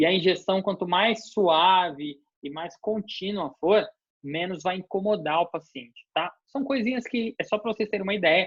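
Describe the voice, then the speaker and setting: This man talks with ordinary pitch variation. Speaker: university dentistry professor. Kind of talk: lecture. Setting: online video class. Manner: fast.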